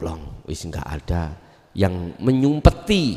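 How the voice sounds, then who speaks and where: A man at a very slow pace with very wide pitch swings. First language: Javanese (speaking Indonesian). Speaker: Islamic teacher. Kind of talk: religious lecture with Q&A. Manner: casual, mixing Javanese and Indonesian.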